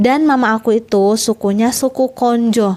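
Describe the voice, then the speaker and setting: This is a woman with a fairly high voice. Her pitch rises and falls in an ordinary way. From Southeast Sulawesi, Indonesia. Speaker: vlogger. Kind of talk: casual vlog talk. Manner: animated.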